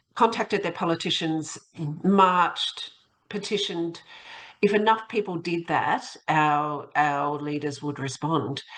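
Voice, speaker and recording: Ordinary variation marks the pitch. The accent is Australian. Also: woman. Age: 60s. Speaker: academic and local councillor. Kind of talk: podcast interview.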